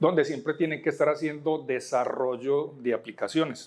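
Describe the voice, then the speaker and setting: Here a man speaks in a Colombian paisa accent. His pace is moderate. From Colombia, Medellín. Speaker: software architect, conference speaker. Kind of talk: conference talk. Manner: halting, with many fillers.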